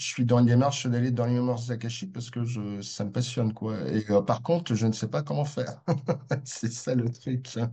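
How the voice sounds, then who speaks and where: Somewhat breathy, a man speaks at a medium pitch. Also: ordinary pitch variation, moderate pace. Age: 60s. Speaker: participant asking questions. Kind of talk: Q&A question. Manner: hesitant, many fillers.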